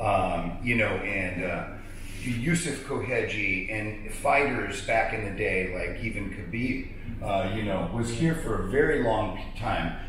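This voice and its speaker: A man speaks very slowly in a fairly low voice. The room echo is audible, with light background noise. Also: ordinary pitch variation. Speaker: combat sports ring announcer. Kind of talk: interview answer. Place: home room. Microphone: camera far.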